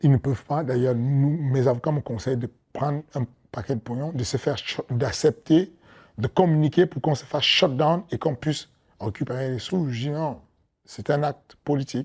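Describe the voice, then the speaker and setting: A man with a strong African accent, fairly high-pitched and somewhat breathy, at a moderate pace with ordinary pitch variation, in a dry, close sound with no echo. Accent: thick African. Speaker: MMA coach and promoter. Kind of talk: interview. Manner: hesitant, repeats words.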